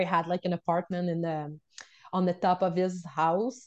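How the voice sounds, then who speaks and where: A woman's medium-pitched, dark, mellow voice in a Quebec accent, monotone and flat, at a moderate pace over a quiet background. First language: French. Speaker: wellness coach and unschooling mother. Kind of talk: interview storytelling.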